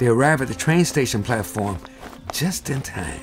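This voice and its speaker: The talking proceeds at a moderate speed. Behind it, there is music. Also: man. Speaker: jazz pianist. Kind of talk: children's cartoon narration.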